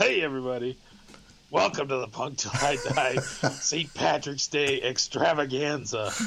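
Putting on a raspy character voice, a man speaks at medium pitch and a moderate pace. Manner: jokey.

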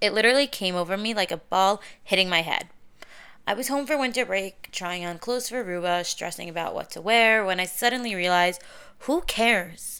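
In a very clean recording with a silent background, a woman speaks at a fairly quick pace in an animated, bright, sharp tone with ordinary pitch variation. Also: medium pitch for a woman. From US Northeast, Deal, New Jersey (Syrian-American community). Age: 20s. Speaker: podcast host, social media personality. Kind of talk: casual monologue.

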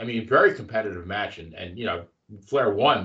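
A man speaks in a bright, sharp tone with vocal fry. His pitch swings very widely. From Long Island. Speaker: wrestling podcast co-host. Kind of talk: casual chat.

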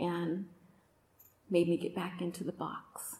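A woman is speaking. She has a West Coast accent. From Oakland, Northern California. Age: 40s. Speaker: podcast host and retreat speaker. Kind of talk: testimony talk at a women's retreat.

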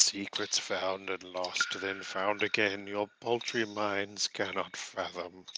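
In a put-on character voice, a man talks at a fairly low pitch and a fairly slow pace with hardly any pauses. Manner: menacing.

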